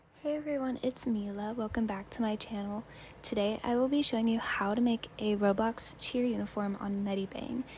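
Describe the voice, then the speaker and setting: A fairly high, somewhat breathy female voice, fairly even in intonation and moderate in pace. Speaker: roblox designer and youtuber. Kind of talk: tutorial.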